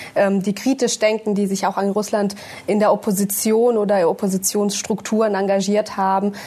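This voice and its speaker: At a moderate pace, a woman speaks in a medium pitch. Her intonation stays monotone and flat. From Germany, born in Russia, moved at six. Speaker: politician. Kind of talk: panel discussion. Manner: hesitant, many fillers.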